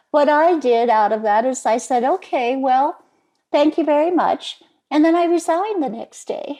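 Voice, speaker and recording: A woman's high-pitched, dark and mellow voice, with lively intonation at a moderate pace. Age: 70s. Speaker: retired entrepreneur. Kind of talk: interview answer.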